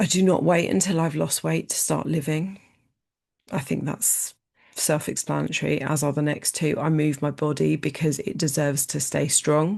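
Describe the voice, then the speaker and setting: A woman speaks with a very deep, low pitch and vocal fry. She keeps a moderate pace against a quiet background. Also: ordinary pitch variation. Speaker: life coach, podcast host. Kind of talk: solo podcast monologue. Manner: emphatic, repeats key lines.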